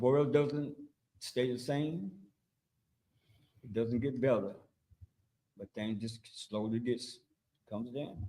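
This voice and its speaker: A man speaks at a very slow pace with long, frequent pauses and big swings in loudness. His tone is dark and mellow, with ordinary pitch variation. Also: medium pitch for a man. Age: 80s+. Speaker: community elder. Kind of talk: panel discussion. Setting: livestream.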